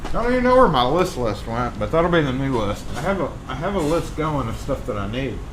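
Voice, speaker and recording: With a Southern US accent, a man talks at a fairly quick pace with lively intonation and hardly any pauses, amid noticeable background noise and audible room echo. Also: fairly high pitch for a man. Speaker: locksmith, live stream host. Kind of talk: casual live stream chat. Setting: live stream.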